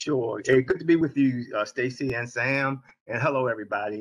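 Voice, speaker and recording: A man speaks at a moderate pace in an American accent. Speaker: nonprofit founder and CEO. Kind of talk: panel discussion.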